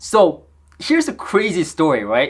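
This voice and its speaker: An animated man with a high voice and a Korean accent, fairly slow in pace, with very wide pitch swings, in a very clean recording with a silent background. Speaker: audio equipment reviewer. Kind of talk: product review.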